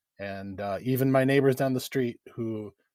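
Recorded very clean with a silent background and a dry, close sound free of echo, a man talks at a moderate pace with fairly even intonation. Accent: Upper Midwest. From Wisconsin, Chippewa Valley. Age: 40s. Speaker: rural political organizer. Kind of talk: interview.

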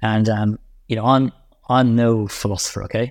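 A man speaks in a Northern Irish accent at a moderate pace and medium pitch. The recording is very clean, with a silent background. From Northern Ireland, Enniskillen. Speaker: infrastructure investment executive. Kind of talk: interview.

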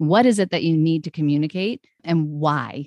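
The sound is dry and close with no echo as a woman speaks in a very deep, low pitch against a quiet background. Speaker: brand strategist. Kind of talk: casual interview chat.

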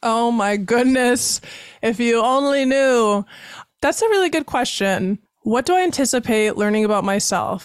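A plain, everyday voice from a woman with an American accent, fairly high in pitch, lively in intonation, at a moderate pace with very even loudness, over a very clean recording with a silent background. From Wisconsin (Baraboo). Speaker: podcast host. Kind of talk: casual interview; scripted show intro and outro. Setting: studio.

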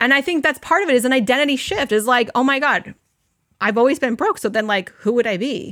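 A woman with a high pitch, a bright, sharp and animated tone, lively intonation and a fairly quick pace, in a dry, close sound with no echo. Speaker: energy healer and business coach. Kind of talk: live workshop teaching. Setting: online live session with audience.

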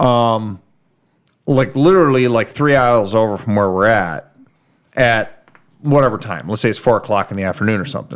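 A plain, everyday voice moves at a moderate pace with ordinary pitch variation. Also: man, medium pitch for a man. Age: 40s. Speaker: car podcast host. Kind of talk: casual chat.

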